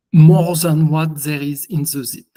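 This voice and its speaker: A man with a strong French accent talks at a very slow pace in a fairly high pitch. His tone is dark and mellow, and his intonation stays fairly even. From France. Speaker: software engineer presenting. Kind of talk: conference presentation.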